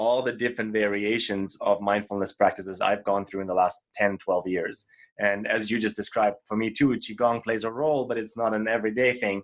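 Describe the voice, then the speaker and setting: Delivered at a fairly quick pace, a plain, everyday voice keeps a fairly even intonation. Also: man, fairly low pitch for a man. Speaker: podcast host. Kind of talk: interview.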